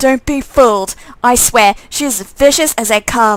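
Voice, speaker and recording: At a moderate pace, a woman performs a put-on character voice set at a high pitch. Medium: game stream. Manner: resentful.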